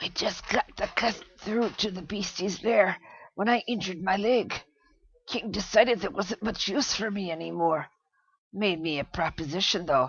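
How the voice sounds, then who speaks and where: A female-sounding voice performs a put-on character voice. The pitch is medium for a woman, and the pace is moderate. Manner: pained.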